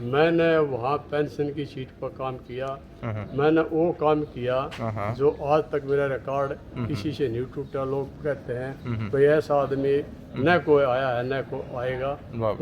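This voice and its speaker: Over noticeable background noise, a man talks with a fairly high pitch and fairly even intonation. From Delhi. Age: 70s. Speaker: dairy cow breeder, retired municipal clerk. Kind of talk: interview answer.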